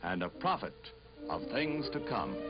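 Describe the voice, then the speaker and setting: Music plays behind a man with an American accent. He talks at a fairly quick pace, his pitch swinging very widely. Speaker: newsreel narrator. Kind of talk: newsreel narration.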